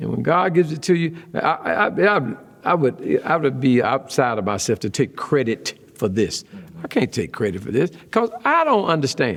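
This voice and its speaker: Animated male voice, fairly high in pitch, with very wide pitch swings, vocal fry and a moderate pace. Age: 70s. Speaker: retiring pastor. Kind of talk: interview conversation. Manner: animated storytelling.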